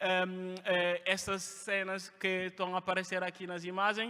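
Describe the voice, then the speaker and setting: A man with a French accent projects a raised voice at high pitch. He keeps a moderate pace. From Guinea (Conakry). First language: French (speaking Portuguese). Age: 20s. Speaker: refugee sharing his story. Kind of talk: testimony. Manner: halting, many hesitations.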